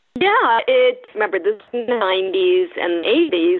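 A woman at a moderate pace. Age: 60s. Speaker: journalism teacher and former foreign correspondent. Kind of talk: interview.

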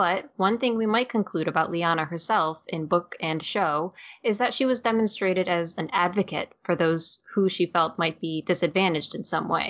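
At a moderate pace and with hardly any pauses, the speaker uses an ordinary speaking voice with ordinary pitch variation. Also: woman, fairly low pitch for a woman. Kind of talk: dramatic narration reading aloud from the novella text. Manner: expressive storyteller voice, acting out the she-wolf's lines.

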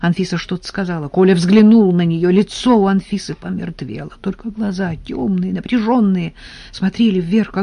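The clip is plain reading aloud. Its pitch goes up and down by a normal amount.

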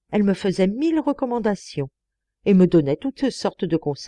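The text comes in an unforced reading voice, and all around it is quiet.

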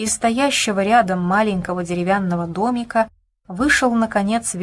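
Quiet surroundings, a natural reading voice, and ordinary pitch variation.

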